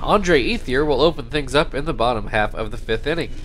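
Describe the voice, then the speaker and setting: A man in a normal speaking voice, fairly high in pitch, lively in intonation and moderate in pace. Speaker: baseball video game commentator. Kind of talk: live-style baseball play-by-play commentary over a video game. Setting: home recording, narrating gameplay. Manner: casual, upbeat, conversational.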